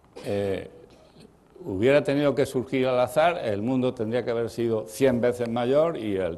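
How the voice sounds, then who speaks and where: A man with a dark, mellow tone talks at a fairly slow pace, a medium pitch and ordinary pitch variation. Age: 80s+. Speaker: professor. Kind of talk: lecture. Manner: halting.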